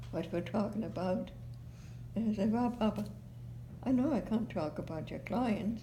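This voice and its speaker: With a German accent, a woman speaks at a moderate pace amid audible room echo. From Germany, Heidelberg. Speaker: oral history interviewee. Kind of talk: oral history interview. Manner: halting.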